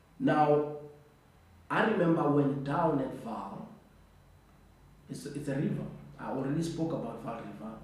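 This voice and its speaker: Noticeable background noise and audible room echo surround a man speaking at a moderate pace. He leaves long, frequent pauses, and his pitch variation is ordinary. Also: fairly high pitch for a man. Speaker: storyteller. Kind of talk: personal storytelling. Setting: at home at night. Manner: lowered voice, quieter.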